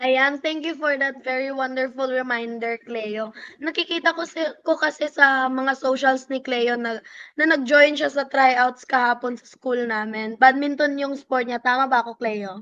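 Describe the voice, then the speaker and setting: A woman's high, bright and sharp voice at a fairly slow pace, with big swings in loudness, fairly even intonation and a quiet background. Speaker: youth co-host. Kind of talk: casual chat.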